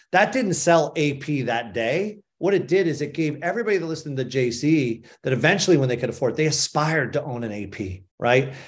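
A man with a fairly high pitch and a somewhat breathy voice talks at a fairly quick pace with lively intonation and hardly any pauses. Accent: Boston. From Boston, Massachusetts. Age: 50s. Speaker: sports agency founder. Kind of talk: interview. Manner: halting.

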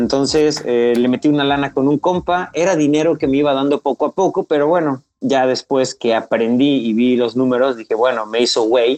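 A man speaks at a moderate pace in a fairly high voice with ordinary pitch variation. His loudness stays very even, and he makes hardly any pauses. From Mexico, Veracruz (Pánuco). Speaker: ultramarathon runner. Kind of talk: casual interview.

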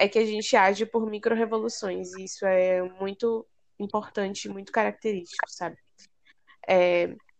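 A woman at a medium pitch, flat and monotone. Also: moderate pace, big swings in loudness. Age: 20s. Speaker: student, junior enterprise president. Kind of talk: casual chat.

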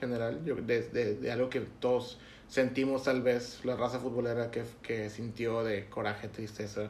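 A man's medium-pitched, fairly even voice at a fairly slow pace, with audible room echo. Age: 20s. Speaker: football podcast host. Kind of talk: casual chat.

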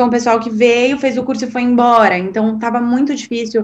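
Somewhat breathy, a woman speaks at a fairly quick pace with a fairly high pitch. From Brazil, São Paulo. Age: 20s. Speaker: podcast guest sharing personal story. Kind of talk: casual interview.

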